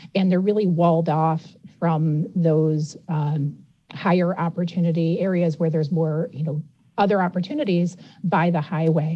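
This woman has an unremarkable speaking voice with a fairly low pitch. She keeps a moderate pace and fairly even intonation. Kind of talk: radio interview.

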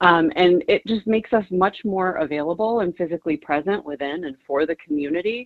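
Speaking with an unremarkable speaking voice, a woman has a fairly low pitch and ordinary pitch variation. Her pace is fairly quick, with hardly any pauses. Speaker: nonprofit executive director. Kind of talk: radio interview.

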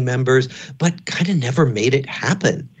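At a fairly slow pace, a man speaks somewhat breathily in a medium pitch. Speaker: psychiatry professor and author. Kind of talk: radio interview.

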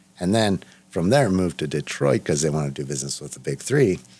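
In a General American accent, a man speaks at a fairly quick pace with vocal fry. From Los Angeles, US. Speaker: restaurant owner. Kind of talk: interview.

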